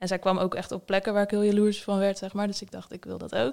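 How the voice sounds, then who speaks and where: Everything is delivered in a monotone, flat intonation. The recording is very clean, and the background is silent. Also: woman. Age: 20s. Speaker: copywriter and translator. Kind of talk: interview. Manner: hesitant, many fillers.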